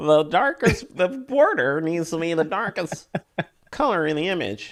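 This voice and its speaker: The speaker puts on a nasal character voice at a middle pitch. The pace is moderate. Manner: mocking.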